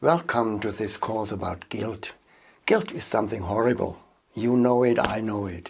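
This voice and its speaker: A man speaks at medium pitch with a German accent. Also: ordinary pitch variation, moderate pace. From Germany. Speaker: seminar leader and online course instructor. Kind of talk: course introduction.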